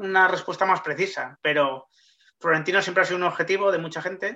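In a raised, projected voice with a bright, sharp tone, the speaker moves at a fairly quick pace with fairly even intonation. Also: man. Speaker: sports journalist. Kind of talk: interview, explanatory.

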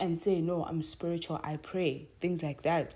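A woman speaks at a fairly low pitch with a dark, mellow tone and a moderate pace. The recording is very clean, with a silent background. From South Africa. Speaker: podcast host. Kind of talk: devotional talk.

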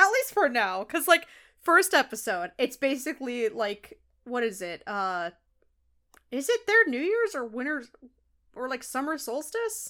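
A woman's raised, projected high voice with very wide pitch swings, long and frequent pauses and a fairly slow pace, in a very clean recording with a silent background. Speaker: podcast co-host. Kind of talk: casual chat. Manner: excitable; animated.

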